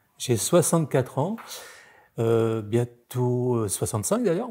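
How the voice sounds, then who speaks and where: The voice has a dark, mellow tone, somewhat breathy, with lively intonation at a very slow pace and long, frequent pauses. The recording is very clean, with a silent background. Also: man. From Normandy, France (childhood partly in Savoie, born in Nord). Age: 60s. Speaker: former technician turned entrepreneur. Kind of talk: interview testimony. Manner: hesitant, many filler sounds.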